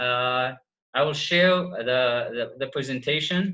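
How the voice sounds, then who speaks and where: Man's voice with a bright, sharp tone, ordinary pitch variation and audible room echo. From Iraq. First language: Arabic. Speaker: PhD student presenter. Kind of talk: online workshop lecture. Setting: video call. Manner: halting, many fillers.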